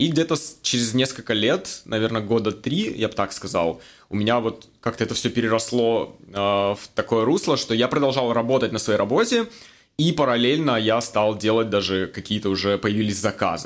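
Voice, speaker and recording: A man speaks at a moderate pace in a plain, everyday voice, medium in pitch with ordinary pitch variation, on a very clean recording with a silent background. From Russia, Magnitogorsk, Chelyabinsk region. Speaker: former film crew worker turned IT specialist. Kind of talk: casual interview chat. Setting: studio podcast, drinking wine.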